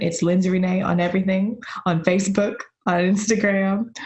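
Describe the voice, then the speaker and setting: Somewhat breathy, a woman with an American accent speaks in a monotone, flat intonation. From Ohio, US Midwest. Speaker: dancer, choreographer and professor. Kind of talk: interview.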